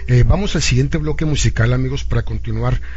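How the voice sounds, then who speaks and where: Amid noticeable background noise and audible room echo, a man with very deep, low pitch speaks at a very fast pace in a monotone, flat intonation. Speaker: radio host. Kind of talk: live radio interview.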